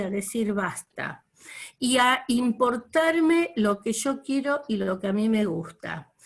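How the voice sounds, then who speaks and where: A woman's somewhat breathy, fairly high voice with ordinary pitch variation. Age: 60s. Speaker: course participant. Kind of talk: testimony.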